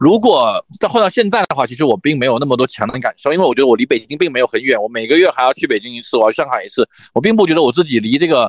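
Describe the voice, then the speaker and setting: Recorded dry and close with no echo, a man talks at a very fast pace and fairly high pitch, his voice making very wide pitch swings. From Fujian, Xiamen. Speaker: brand marketing executive. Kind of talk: casual chat. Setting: remote call.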